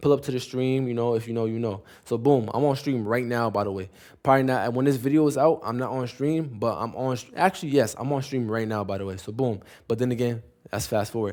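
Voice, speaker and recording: This man talks at a very fast pace in a medium pitch. His pitch varies in an ordinary way, and the recording is very clean with a silent background. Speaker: streamer. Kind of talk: casual storytelling vlog. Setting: live stream.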